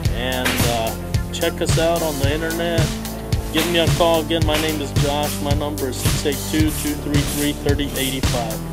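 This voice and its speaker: Speech at a moderate pace plays over loud background music. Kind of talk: casual tour narration. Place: factory. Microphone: phone near.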